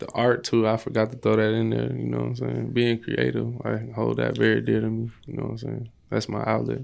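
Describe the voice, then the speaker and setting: The pace is fairly quick. There are hardly any pauses. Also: man. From Chicago western suburbs, Illinois (Maywood). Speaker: musician, former basketball player. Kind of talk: casual chat.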